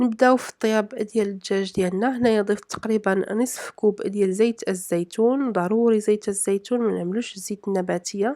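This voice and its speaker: A woman speaks at a moderate pace in a Moroccan accent. Her pitch is fairly high. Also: fairly even intonation. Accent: Moroccan Arabic (Darija). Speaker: cooking vlogger. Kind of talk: cooking tutorial narration. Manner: halting, with fillers.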